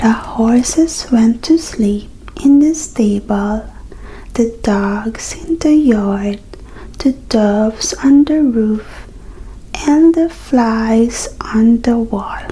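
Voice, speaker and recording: Over noticeable background noise, the speaker talks at a very slow pace in a soothing tone. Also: woman, fairly high pitch for a woman, ordinary pitch variation. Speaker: ASMR creator. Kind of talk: fairy tale reading. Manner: soothing, relaxing.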